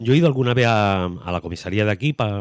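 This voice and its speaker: A man speaks very fast, his pitch varying in an ordinary way. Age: 70s. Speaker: radio host. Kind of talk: radio interview. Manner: halting.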